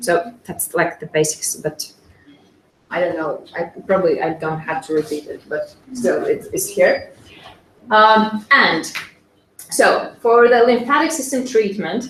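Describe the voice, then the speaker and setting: A woman speaks with a non-native accent at a fairly slow pace. Her speech has long, frequent pauses. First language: not English. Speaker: SCENAR practitioner. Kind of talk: conference presentation. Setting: conference with audience. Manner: halting, many fillers.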